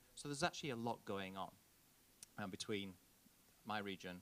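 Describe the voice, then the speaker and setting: A man speaks in a fairly low voice with a Yorkshire accent. His pitch moves in an ordinary way. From northern England, Yorkshire. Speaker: diplomat, conference speaker. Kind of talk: conference keynote speech. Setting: conference stage with audience.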